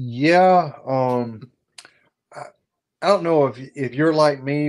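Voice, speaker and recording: This man talks in a Southern US accent with ordinary pitch variation. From South Carolina, North Augusta. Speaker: HVAC business owner and YouTuber. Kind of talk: casual chat. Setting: live stream.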